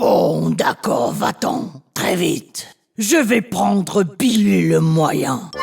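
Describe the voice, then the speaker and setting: A cartoonish character voice from a man, high-pitched and growling, at a very slow pace. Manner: gruff, threatening.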